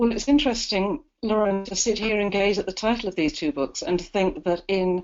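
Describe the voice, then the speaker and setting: With a British accent, a woman talks at a fairly quick pace and a medium pitch, her intonation lively. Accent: UK. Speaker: university educator. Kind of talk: webinar interview. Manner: articulate, measured.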